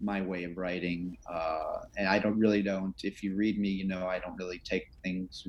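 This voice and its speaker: A man talks at a moderate pace in an American accent. His pitch is fairly low and his intonation monotone and flat. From Chicago, US Midwest. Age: 60s. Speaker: sportswriter. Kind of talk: interview.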